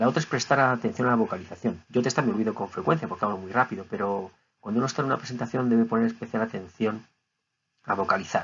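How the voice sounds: A man speaks fast at a fairly low pitch, his fairly bright tone carrying a slightly husky edge and ordinary pitch variation.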